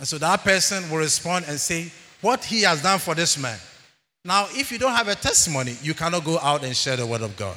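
With a bright, sharp tone and vocal fry, a man talks at a fairly quick pace in a fairly high pitch that makes very wide swings. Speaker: church elder preaching. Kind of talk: sermon. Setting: church. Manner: animated.

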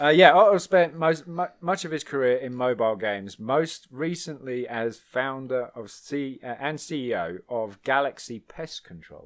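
With a southeastern English accent, a man talks at a fairly slow pace and medium pitch with hardly any pauses, lively intonation and big swings in loudness. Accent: British English, southeastern. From England. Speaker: podcast host. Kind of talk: casual chat. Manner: jokey, laughs often.

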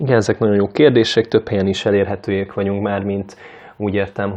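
With a fairly low pitch, a male speaker delivers his words at a moderate pace. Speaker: cultural nonprofit worker, mobile book stall organizer. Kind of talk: casual interview. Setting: studio. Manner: halting, many fillers and repetitions; enthusiastic.

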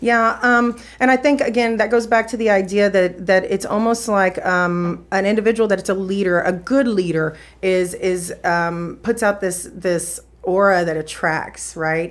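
An unremarkable speaking voice from a woman, medium in pitch, at a fairly slow pace with ordinary pitch variation. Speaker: podcast guest. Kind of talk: casual interview conversation.

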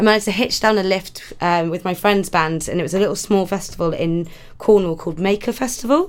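A woman with a west Welsh accent talks at a very fast pace. Her pitch is medium, with ordinary pitch variation. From Wales, Pembrokeshire. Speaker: comedy radio contributor. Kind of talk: casual chat.

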